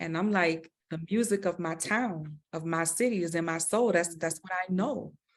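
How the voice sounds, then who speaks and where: A woman speaks in a New Orleans accent at a fairly low pitch. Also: ordinary pitch variation, moderate pace. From New Orleans, Louisiana. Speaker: visual artist. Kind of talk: interview conversation.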